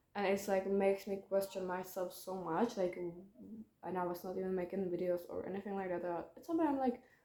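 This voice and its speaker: With a non-native accent, a woman speaks at medium pitch and with fairly even intonation. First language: not English. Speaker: YouTuber. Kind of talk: casual vlog monologue. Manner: halting, many fillers.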